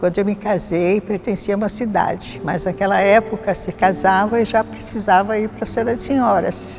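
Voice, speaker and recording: A woman at medium pitch and moderate pace, with ordinary pitch variation and music in the background. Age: 80s+. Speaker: church prayer group member. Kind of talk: testimony.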